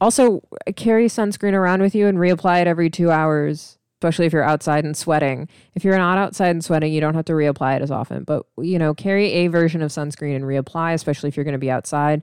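A woman with an American accent speaks very fast in a fairly low voice with ordinary pitch variation. The recording is very clean, with a silent background. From US Midwest (Missouri, Illinois). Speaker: podcast host. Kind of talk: casual solo chat. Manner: relaxed, chatty.

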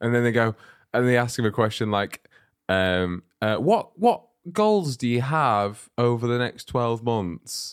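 Here is an unremarkable speaking voice from a man at a medium pitch. He speaks at a fairly slow pace with ordinary pitch variation. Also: dry, close sound with no echo. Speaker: comedy podcast host. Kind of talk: casual comedy banter with role play.

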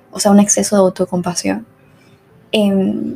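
Someone with a Venezuelan accent speaks at a moderate pace. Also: woman. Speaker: podcast host. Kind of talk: casual solo monologue.

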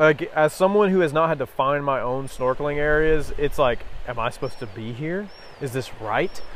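This man has a fairly high pitch, ordinary pitch variation, and speaks with an American accent. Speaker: podcast co-host. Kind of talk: casual chat. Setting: outdoors on a beach. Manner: fast.

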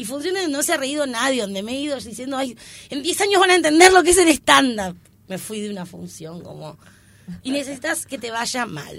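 A woman with a high pitch talks at a fairly quick pace, her pitch swinging very widely and her loudness rising and falling in big swings. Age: 30s. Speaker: comedian. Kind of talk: casual interview.

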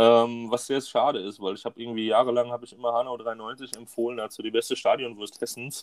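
A man's medium-pitched voice, very fast, flat and monotone, with big swings in loudness. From Hunsrück, western Germany. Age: 20s. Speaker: women's football coach. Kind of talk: casual chat.

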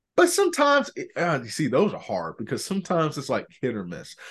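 Against a quiet background, a man with an American accent talks at a fairly quick pace in an animated tone, his pitch swinging very widely. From Orlando, Florida. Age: 20s. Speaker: podcast host, former track athlete and coach. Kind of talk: casual interview chat.

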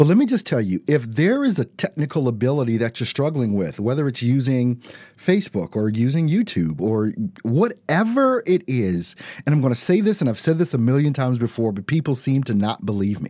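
A man with a dark, mellow tone and medium pitch speaks at a fairly quick pace with very wide pitch swings. The recording is very clean, with a silent background. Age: 40s. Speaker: radio host and motivational coach. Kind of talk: live radio monologue. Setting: live radio and Instagram stream.

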